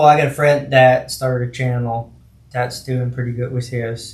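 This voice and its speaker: Somewhat breathy, a man speaks at medium pitch with an American accent. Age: 30s. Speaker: YouTuber, shed repo channel. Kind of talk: casual podcast conversation.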